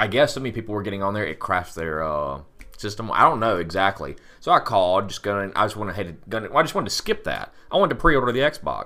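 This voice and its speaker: A man with a fairly low voice talks at a very fast pace in a playful tone, his intonation lively and his loudness swinging widely. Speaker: podcast host. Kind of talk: casual chat. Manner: joking, playful.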